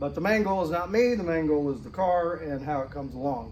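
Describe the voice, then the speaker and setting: A man talks at a moderate pace with ordinary pitch variation. The room echo is audible. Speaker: car restoration hobbyist. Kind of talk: tutorial. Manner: mumbling; halting.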